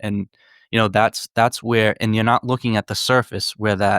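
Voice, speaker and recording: A man's medium-pitched voice in a Northeastern US accent, flat and monotone. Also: very clean recording, silent background. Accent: Northeast US. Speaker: psychedelics advocate and author. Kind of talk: casual podcast conversation. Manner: halting, many repetitions.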